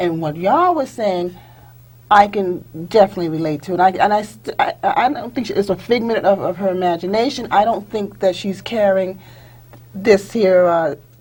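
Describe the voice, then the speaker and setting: Somewhat breathy, a woman speaks at a medium pitch. Her pace is moderate and her pitch variation ordinary. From US South. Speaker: panelist. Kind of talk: round table discussion.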